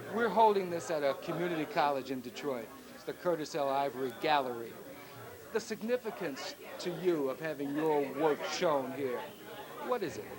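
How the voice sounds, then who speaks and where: With an American accent, the speaker uses lively intonation at a moderate pace, with audible room echo and crowd noise in the background. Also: man, fairly high pitch for a man. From Chicago. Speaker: interviewer. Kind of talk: interview.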